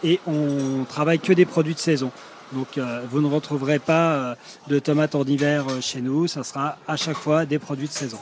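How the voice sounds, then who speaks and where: Amid noticeable background noise, a man with a fairly high pitch speaks at a moderate pace with fairly even intonation. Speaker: restaurant manager. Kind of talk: interview on location. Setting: on a restaurant terrace.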